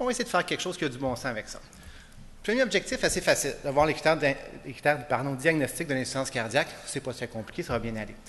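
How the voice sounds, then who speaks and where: Lively in intonation, a man speaks at a very fast pace in a fairly high voice. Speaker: internist giving a medical conference talk. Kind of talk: conference lecture.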